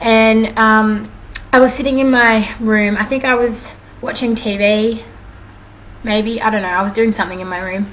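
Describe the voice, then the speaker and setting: A woman's fairly high voice with an Australian accent, fairly even intonation, long and frequent pauses, and audible room echo. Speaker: vlogger. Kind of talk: casual storytelling vlog. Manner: fast.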